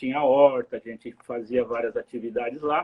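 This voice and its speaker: It's an ordinary speaking voice with fairly even intonation. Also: man. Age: 60s. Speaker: community member, interviewee. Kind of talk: casual interview. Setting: live video stream.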